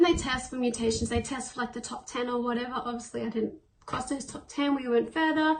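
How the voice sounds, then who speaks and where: A high-pitched woman with an Australian accent, very fast and fairly even in intonation, over noticeable background noise. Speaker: person with cystic fibrosis. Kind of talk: interview answer. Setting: self-recorded on own device.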